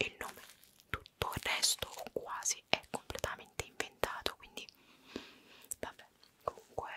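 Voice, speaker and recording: A woman whispers at a moderate pace, with long pauses coming often. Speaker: ASMR creator. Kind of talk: casual vlog chat. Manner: intimate close-mic whisper.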